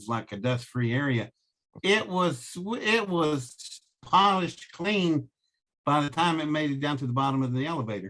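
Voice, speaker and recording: A man's fairly high, bright, sharp voice with a slight Southern US accent, at a moderate pace with lively intonation. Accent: slight Southern American. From American South.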